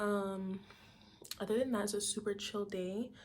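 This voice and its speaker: Speaking at a medium pitch, a woman has an unremarkable speaking voice. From Toronto, Canada. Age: young. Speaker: university student. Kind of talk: casual talk to camera.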